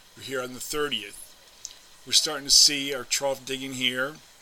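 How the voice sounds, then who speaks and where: Noticeable background noise sits under a man speaking at a moderate pace in a medium pitch. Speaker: weather forecaster. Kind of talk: weather report. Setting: screen-share video narration of forecast maps. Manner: formal, measured; halting, with filler words and throat clearing.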